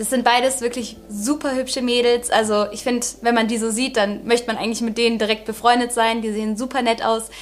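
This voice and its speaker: With music in the background, a woman speaks in a fairly high pitch and a monotone, flat intonation, with hardly any pauses. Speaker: true crime podcast host. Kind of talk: storytelling narration. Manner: casual, filler-heavy.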